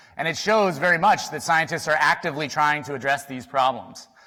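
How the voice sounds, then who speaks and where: The speaker moves at a fairly quick pace, with a bright, sharp tone and ordinary pitch variation. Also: man. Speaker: statistician, symposium speaker. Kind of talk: conference talk. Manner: fast.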